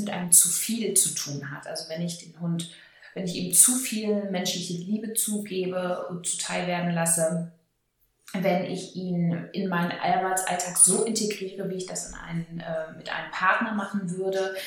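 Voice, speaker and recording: A woman talks at a fairly slow pace and medium pitch, her intonation fairly even. Audible room echo is present. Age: 30s. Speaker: dog trainer educator. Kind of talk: interview.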